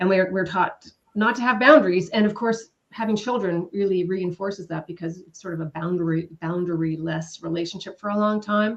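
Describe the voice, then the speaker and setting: A woman with a normal speaking voice talks at a fairly quick pace and a medium pitch, with ordinary pitch variation, big swings in loudness and hardly any pauses. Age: 50s. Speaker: co-author of a self-help book. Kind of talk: live panel self-introduction. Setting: live online stream.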